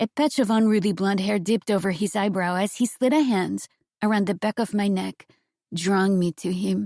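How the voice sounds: A natural reading voice is heard, and the background is quiet.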